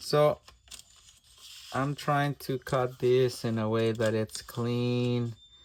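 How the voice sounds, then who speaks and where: A man's medium-pitched monotone with flat intonation, in a Spanish accent, over noticeable background noise. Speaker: artist. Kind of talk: tutorial. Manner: halting.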